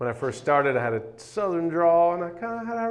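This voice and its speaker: The speaker's intonation is lively and the pace fairly quick. Room echo is audible. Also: man. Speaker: baseball TV announcer. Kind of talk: talk to students with Q&A. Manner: projected from the diaphragm.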